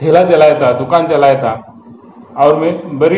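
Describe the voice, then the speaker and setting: Amid noticeable background noise and audible room echo, a man speaks with a Marathi accent. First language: Marathi (speaking Hindi). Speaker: YouTuber. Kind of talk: storytelling monologue. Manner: halting, with fillers and repetitions.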